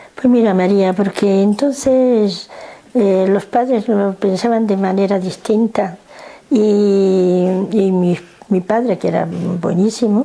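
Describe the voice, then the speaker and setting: A woman at a very slow pace with fairly even intonation, over noticeable background noise. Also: medium pitch for a woman, very even loudness. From northern Morocco (Nador, Spanish protectorate). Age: 70s. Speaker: interviewee grandmother. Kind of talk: family interview. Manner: halting.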